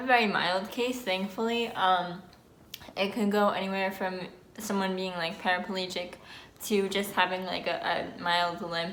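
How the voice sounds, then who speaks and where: A woman with a New Jersey accent speaks at a medium pitch, and the room echo is audible. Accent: New Jersey American. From New Jersey, US. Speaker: vlogger. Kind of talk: casual vlog talk. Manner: slightly slurred speech with pauses.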